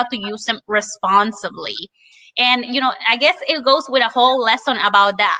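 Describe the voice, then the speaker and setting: The voice carries a Spanish accent. It moves at a moderate pace with ordinary pitch variation. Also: woman. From Spanish-speaking country, moved to US at eleven. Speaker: Spanish teacher. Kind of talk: casual webinar discussion.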